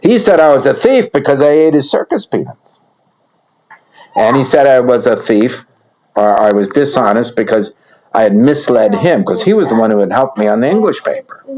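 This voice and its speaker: Talking at a fairly quick pace with an American accent, a man with a fairly high pitch makes very wide pitch swings while keeping his loudness very even. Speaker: retired storyteller, former Air Force cadet. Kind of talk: personal life story told to grandchildren. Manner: casual, conversational.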